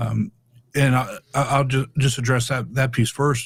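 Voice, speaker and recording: A somewhat breathy man at medium pitch, fairly even in intonation, on a very clean recording with a silent background. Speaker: public speaking educator. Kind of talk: podcast interview. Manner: fast; halting, many repeated words.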